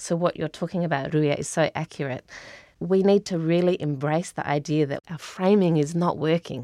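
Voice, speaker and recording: In an Australian accent, a woman with a fairly low pitch and a dark, mellow tone talks at a moderate pace with fairly even intonation, in a dry, close sound with no echo and a quiet background. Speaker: climate adaptation engagement worker. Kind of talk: podcast interview.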